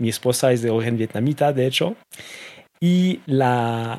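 In a very clean recording with a silent background, a man speaks at a fairly slow pace in a medium pitch with ordinary pitch variation. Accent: French. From France. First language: French (speaking Spanish). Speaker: e-commerce association executive. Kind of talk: interview conversation.

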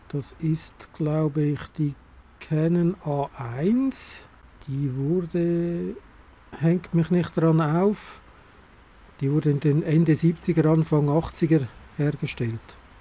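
Speaking very slowly with long, frequent pauses, a man uses a dark, mellow tone at a fairly high pitch with ordinary pitch variation. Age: 50s. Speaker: analogue photography podcaster. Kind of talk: solo monologue podcast. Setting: outdoors on a covered balcony terrace in snowfall. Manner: casual, with hesitations.

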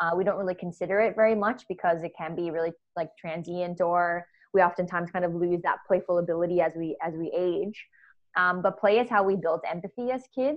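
An unremarkable speaking voice from a woman with an American accent, fairly low in pitch, at a fairly quick pace with fairly even intonation. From US. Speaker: play expert and culture consultant. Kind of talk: casual interview conversation. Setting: video call from home office during lockdown.

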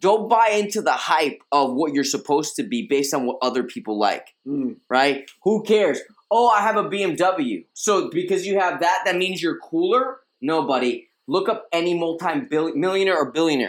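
With an animated tone and very wide pitch swings, a man speaks at a moderate pace in a high pitch. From Queens, New York. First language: Spanish. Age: 30s. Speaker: life coach and fitness TV personality. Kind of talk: interview.

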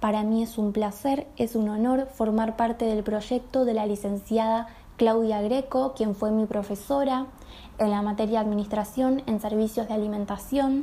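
A woman speaks in a Rioplatense accent with a fairly high pitch and a dark, mellow, somewhat breathy tone. Her intonation is monotone and flat, at a moderate pace. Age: 20s. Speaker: nutrition student and pastry entrepreneur. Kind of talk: recorded personal testimony.

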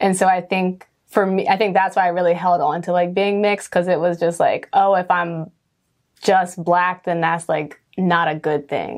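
At a moderate pace, a woman with a fairly low pitch speaks in a monotone, flat intonation. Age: 20s. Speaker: production crew member interviewed as guest. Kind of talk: casual interview conversation.

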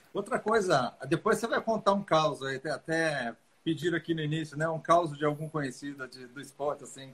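At a moderate pace, a man speaks in a fairly high pitch with ordinary pitch variation and big swings in loudness. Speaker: dentist and live-stream host. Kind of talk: live-stream interview.

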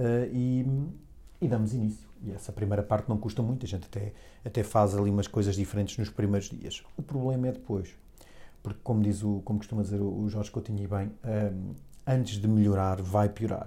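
A man talks fairly quickly in a fairly low pitch with a European Portuguese accent. His tone is dark and mellow, somewhat breathy, with fairly even intonation. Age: 40s. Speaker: podcast host. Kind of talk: solo monologue podcast. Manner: halting, many fillers and repetitions.

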